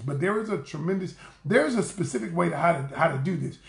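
A man's fairly high-pitched voice, lively in intonation and fairly quick in pace, with audible room echo. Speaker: relationship coach. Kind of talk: live-stream talk to viewers. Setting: livestream. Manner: loud; animated. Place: home room. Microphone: phone near.

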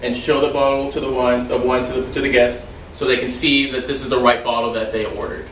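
Over light background noise, a man talks at a very fast pace with audible room echo. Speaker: server demonstrating wine service. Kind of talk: tutorial. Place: home room. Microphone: camera far.

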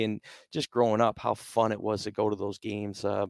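Over a quiet background, a man with an American accent talks very fast at a fairly low pitch, with vocal fry. The intonation stays fairly even, and the sound is dry with no echo. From Michigan, US Midwest. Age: 30s. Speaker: football offensive coordinator. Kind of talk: casual interview. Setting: on location at event. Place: meeting room. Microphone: headset.

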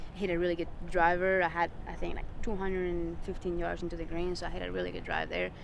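With noticeable background noise but a dry sound with no echo, a woman speaks in a monotone, flat intonation. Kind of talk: interview answer. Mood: pleased, reflective. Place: open country.

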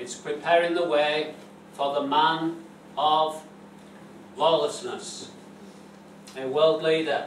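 A man speaks at a very slow pace in a monotone, flat intonation. Light background noise and audible room echo fill the recording. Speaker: preacher. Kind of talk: sermon. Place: church. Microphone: camera far.

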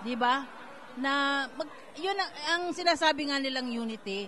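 A woman speaks at a very slow pace in a high voice. Crowd noise fills the background. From Philippines. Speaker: community leader; guest. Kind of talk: event interview. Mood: warm, hopeful. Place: hall. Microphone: handheld.

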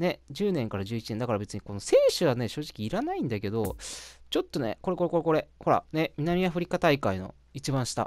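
Recorded very cleanly against a silent background, the speech moves at a fairly quick pace. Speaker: gaming YouTuber. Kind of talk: casual gameplay commentary. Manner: casual, filler-heavy.

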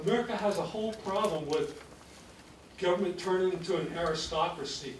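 A man's high voice at a moderate pace with ordinary pitch variation, audible room echo and noticeable background noise. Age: 80s+. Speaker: public commenter at county hearing. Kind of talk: public comment at hearing. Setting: public meeting room.

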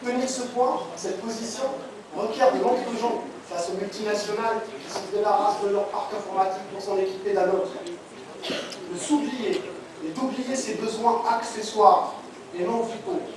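Strong room echo and noticeable background noise surround speech that moves at a fairly slow pace with long, frequent pauses. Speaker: performer reciting a monologue. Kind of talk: spoken-word monologue, declamatory political manifesto. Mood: earnest political declamation. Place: hall.

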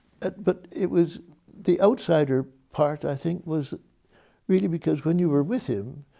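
A man speaks at a moderate pace with a high pitch, lively intonation and a dark, mellow tone. He leaves long, frequent pauses over a quiet background. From Canada. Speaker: musicologist; interviewee. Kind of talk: oral history interview answer. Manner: reflective, hesitant, conversational. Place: studio. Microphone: lapel.

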